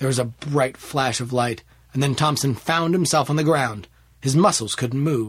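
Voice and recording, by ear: In a natural voice, someone reads aloud, the pitch varying in an ordinary way.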